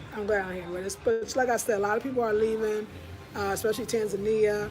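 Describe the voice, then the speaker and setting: A woman speaks at a fairly quick pace with fairly even intonation. Noticeable background noise and audible room echo are present. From United States. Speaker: vlogger living abroad. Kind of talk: casual vlog monologue.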